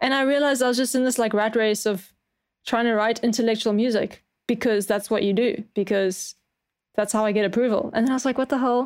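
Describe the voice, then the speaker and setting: Fairly quick speech in a South African accent, with fairly even intonation and very even loudness. The recording is very clean, with a silent background. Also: woman, fairly high pitch for a woman. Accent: South African, often mistaken for Australian. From South Africa, Cape Town. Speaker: music producer and composer. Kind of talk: casual chat.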